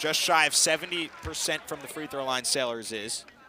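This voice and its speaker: Over noticeable background noise, a man talks at a fairly high pitch with ordinary pitch variation. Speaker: TV sports play-by-play announcer. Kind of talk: live women's basketball play-by-play. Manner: fast, energetic.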